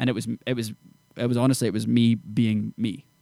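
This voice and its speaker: In a Scottish accent, a dark, mellow voice moves at a fairly quick pace in a flat monotone. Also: man. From Scotland, Edinburgh area small town. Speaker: country singer. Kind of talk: casual interview chat. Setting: studio.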